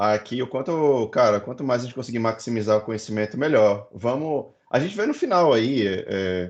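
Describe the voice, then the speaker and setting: The speech has hardly any pauses and ordinary pitch variation. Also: man, medium pitch for a man. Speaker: data science educator, founder of a school. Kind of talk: online lecture. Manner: fast.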